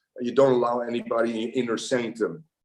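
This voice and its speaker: A man talks at a fairly quick pace with a Dutch accent. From Netherlands. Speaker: football coach. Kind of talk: podcast interview. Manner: halting, many fillers and repeated words.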